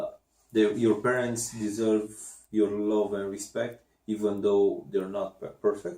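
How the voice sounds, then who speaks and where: A man speaks slowly-ish in a fairly low, dark, mellow voice with a non-native accent. His intonation stays monotone and flat. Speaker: podcast co-host. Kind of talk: casual chat. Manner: halting.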